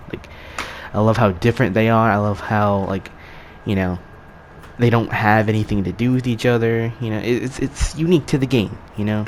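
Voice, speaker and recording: Over noticeable background noise, a man speaks at a fairly quick pace with fairly even intonation and long, frequent pauses. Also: medium pitch for a man. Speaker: gaming youtuber. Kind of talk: video essay outro, casual talk to viewers. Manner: halting, many fillers and repeats.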